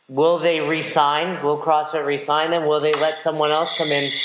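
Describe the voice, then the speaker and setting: In a room with audible echo, a man speaks at a fairly high pitch. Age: 30s. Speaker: podcast host and CrossFit coach. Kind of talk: interview.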